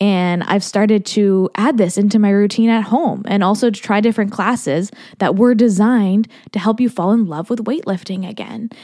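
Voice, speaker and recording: In a very clean recording with a silent background, a woman's dark, mellow voice sits at medium pitch with ordinary pitch variation. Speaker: podcast host, confidence coach. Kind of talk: solo podcast monologue. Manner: fast.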